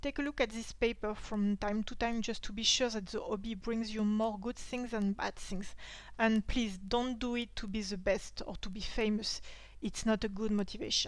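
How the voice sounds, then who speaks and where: A woman speaks at a moderate pace with fairly high pitch and ordinary pitch variation. She has an ordinary speaking voice. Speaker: historical costumer. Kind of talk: casual talk to camera, tutorial advice.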